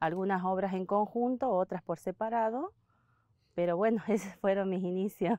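A woman's dark, mellow tone at a moderate pace, fairly even in intonation, over a quiet background. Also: dry sound with no echo. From Argentina, Santiago del Estero. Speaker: basket weaver. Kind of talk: interview testimony. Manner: halting. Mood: calm, warm reminiscing. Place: garden.

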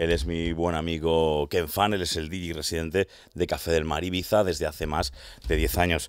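Against a quiet background, a man speaks fairly quickly. His very deep, low voice keeps a fairly even intonation. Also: dry sound with no echo. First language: Spanish. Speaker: radio host. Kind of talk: interview; interview questions, radio host. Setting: studio. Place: studio. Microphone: studio mic.

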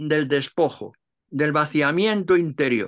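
A man's bright, sharp tone and lively intonation against a quiet background. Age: 80s+. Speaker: Cistercian monk and translator; interviewee. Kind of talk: interview; interview answer. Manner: halting. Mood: calm, reflective, spiritual. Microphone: video call.

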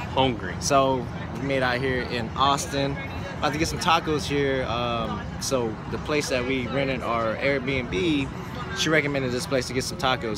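Loud background noise surrounds a man as he talks. His voice sounds dry, with no echo. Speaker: vlogger. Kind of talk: casual vlog chat. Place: street. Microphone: phone near.

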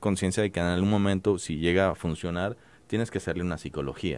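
The recording is dry, with no echo. A man speaks fairly quickly. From Mexico, Guadalajara; Jalisco, Mexico. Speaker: cartoonist; guest. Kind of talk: interview; interview answer. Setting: studio. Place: studio. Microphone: studio mic.

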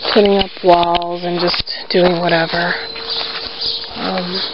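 The speech moves at a very slow pace. The sound is dry with no echo, and background noise is noticeable. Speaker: narrator touring property. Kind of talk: casual vlog chat. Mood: wistful, a bit sad. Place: farm machine. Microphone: phone near.

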